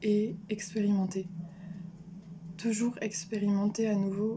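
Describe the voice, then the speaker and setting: A woman with a medium pitch speaks in a monotone, flat way, her tone dark and mellow and somewhat breathy. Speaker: vlogger. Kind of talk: personal vlog monologue. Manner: hesitant, many fillers.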